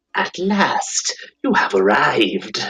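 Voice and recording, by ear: A man's raspy, put-on character voice.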